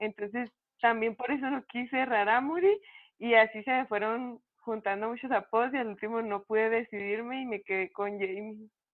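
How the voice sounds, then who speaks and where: At a moderate pace, a woman with a normal speaking voice speaks in a fairly high pitch with fairly even intonation. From Mexico, Chihuahua (Cuauhtémoc). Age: 20s. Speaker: professional boxer. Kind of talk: interview.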